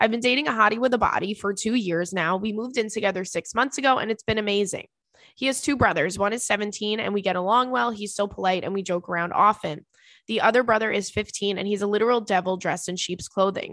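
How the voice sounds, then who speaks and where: A woman talks loudly and at a very fast pace in an animated tone, at a medium pitch with ordinary pitch variation. The background is quiet. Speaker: podcast host. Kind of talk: casual chat. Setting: studio with headphones. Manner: animated, can get loud.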